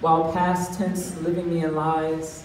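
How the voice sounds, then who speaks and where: A woman whose pitch is very deep and low talks at a moderate pace, with noticeable noise behind her. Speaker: spoken word poet. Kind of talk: poetry reading. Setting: live stage, open mic.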